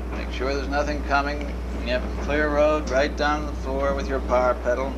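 Through noticeable background noise, a man can be heard speaking at a moderate pace. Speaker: streetcar driving instructor. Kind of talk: instruction. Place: train. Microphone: old recording.

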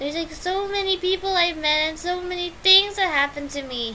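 Amid noticeable background noise, a woman speaks in a raised, projected voice. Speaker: YouTuber. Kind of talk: unscripted vlog monologue. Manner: halting.

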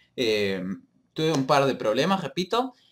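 Light background noise accompanies a man speaking at a medium pitch. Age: 20s. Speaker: gaming youtuber. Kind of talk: casual vlog to viewers. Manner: hesitant, many fillers. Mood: apologetic, upbeat. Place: home room. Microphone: webcam.

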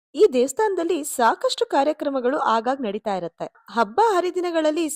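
A woman's voice with very wide pitch swings, dry and close with no echo. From India, Bengaluru. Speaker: vlogger. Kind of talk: travel vlog narration.

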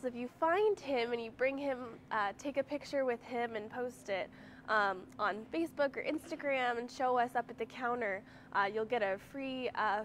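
Over light background noise, a woman with a high voice and ordinary pitch variation talks at a moderate pace. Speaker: presenter. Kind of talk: casual store tour announcements. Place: shop. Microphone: camera far.

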